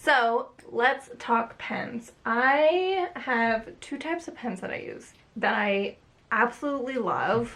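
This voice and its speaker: A woman talks at a very slow pace in a high pitch, with lively intonation. Her loudness swings widely. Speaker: artist. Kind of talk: casual talk to camera about art supplies. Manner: casual, chatty.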